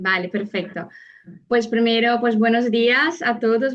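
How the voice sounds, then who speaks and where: A woman speaks fairly slowly in a Brazilian accent, her pitch fairly high with ordinary variation. Audible room echo surrounds her voice. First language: Portuguese (speaking Spanish). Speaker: psychologist and seminar speaker. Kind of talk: lecture. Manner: halting.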